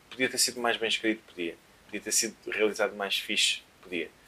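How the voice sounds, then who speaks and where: Through noticeable background noise, a man talks at a very fast pace with medium pitch and fairly even intonation. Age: 30s. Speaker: DJ and musician. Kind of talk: casual chat. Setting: at home.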